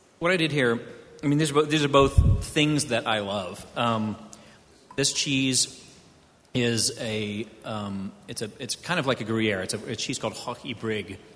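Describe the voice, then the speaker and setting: In a plain, everyday voice with an American accent, a man speaks at a fairly slow pace, his pitch medium with ordinary variation. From US South, Houston, Texas. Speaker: wine magazine editor. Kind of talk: panel discussion.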